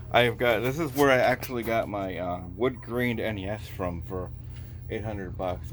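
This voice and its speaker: With vocal fry and ordinary pitch variation, a man talks at a moderate pace amid audible room echo. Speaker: retro gaming vlogger. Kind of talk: casual vlog walkthrough. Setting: in a used game shop.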